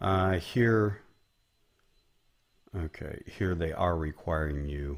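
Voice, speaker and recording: In an American accent, a man with a very deep, low pitch talks in a somewhat breathy voice with ordinary pitch variation. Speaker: business coach. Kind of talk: tutorial. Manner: casual, conversational.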